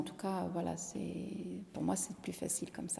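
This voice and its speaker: With an Italian accent, a woman speaks in a fairly low, dark, mellow voice with vocal fry and monotone, flat intonation. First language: Italian (speaking French). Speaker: singer-songwriter. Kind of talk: interview. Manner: halting, many repetitions.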